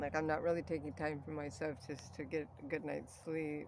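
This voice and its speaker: Against light background noise, a woman with a very deep, low pitch speaks with fairly even intonation in a dry sound with no echo. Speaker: artist vlogger. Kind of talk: casual vlog chat. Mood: low, self-doubting. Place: open country. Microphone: phone near.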